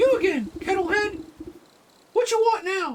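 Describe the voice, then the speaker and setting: An extremely high-pitched, put-on character voice delivered at a moderate pace. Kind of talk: broken grammar. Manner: hostile, gruff.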